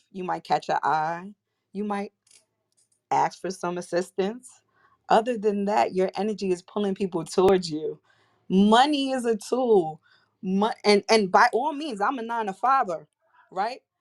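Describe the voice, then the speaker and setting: With a New York accent, a woman of medium pitch speaks at a moderate pace with ordinary pitch variation and long, frequent pauses, in a dry, close, very clean recording with a silent background. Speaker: crisis management specialist and entrepreneur. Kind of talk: casual chat. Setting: live audio chat room.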